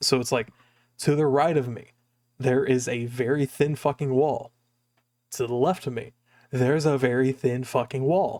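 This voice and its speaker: A soft-spoken voice talks at a fairly slow pace. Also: man. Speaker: streamer. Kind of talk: casual chat. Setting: home recording, thin walls.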